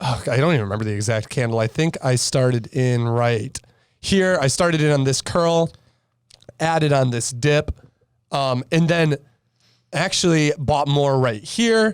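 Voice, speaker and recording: A man with a fairly high voice speaks at a moderate pace with lively intonation, very even loudness, and long, frequent pauses. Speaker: stock trader. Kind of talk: casual podcast chart breakdown.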